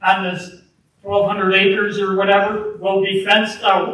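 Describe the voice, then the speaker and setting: Loud and high-pitched, a man talks at a fairly slow pace. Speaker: public commenter. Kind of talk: public comment at township meeting. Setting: public meeting hall.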